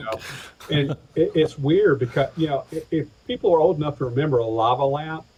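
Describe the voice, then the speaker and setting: At a fairly quick pace, a man with an American accent speaks somewhat breathily at a fairly high pitch with ordinary variation. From Atlanta, Georgia, USA. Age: 50s. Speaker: pastor, insurance agent and stand-up comedian. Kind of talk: interview answer.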